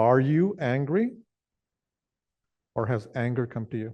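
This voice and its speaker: With a Kannada accent, a man speaks very slowly at a medium pitch, his tone dark and mellow and his intonation lively, over a quiet background. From southwestern India (Karnataka). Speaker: meditation teacher. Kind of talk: dharma talk. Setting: meditation hall with audience.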